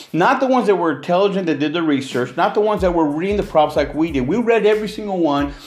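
A man with an American accent and a high pitch, at a very fast pace with hardly any pauses, lively intonation and noticeable background noise. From California. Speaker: independent film producer and podcaster, former pastor. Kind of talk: casual solo podcast monologue. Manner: informal, conversational, opinionated.

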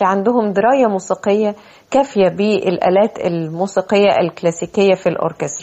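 A woman with a Cairo accent speaks at medium pitch with ordinary pitch variation. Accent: Egyptian Arabic (Cairene). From Egypt. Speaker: flutist and art critic. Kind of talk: interview. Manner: formal.

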